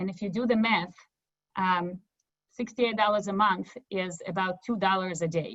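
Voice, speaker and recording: With a Russian accent, a woman speaks at a moderate pace. Her voice is somewhat breathy, with ordinary pitch variation. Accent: Russian-type accent from former Soviet Union. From former Soviet Union. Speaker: nonprofit representative. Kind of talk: webinar presentation.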